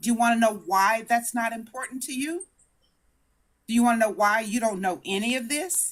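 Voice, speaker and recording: A woman with an American accent speaks at a moderate pace in an animated tone, her fairly high voice showing ordinary pitch variation. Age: 60s. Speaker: debate show participant. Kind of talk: heated debate. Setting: live stream. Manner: formal.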